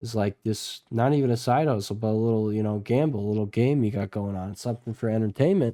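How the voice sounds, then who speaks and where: A man's medium-pitched, dark, mellow voice at a very fast pace with hardly any pauses and ordinary pitch variation, on a very clean recording with a silent background. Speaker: stock market youtuber. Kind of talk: market analysis video. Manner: casual, filler-heavy.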